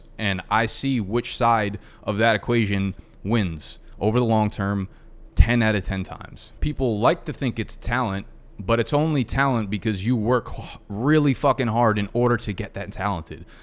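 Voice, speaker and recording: The pace is moderate as a man talks. His pitch variation is ordinary. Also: medium pitch for a man. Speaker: YouTuber and podcast host. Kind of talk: solo monologue podcast. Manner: casual, conversational.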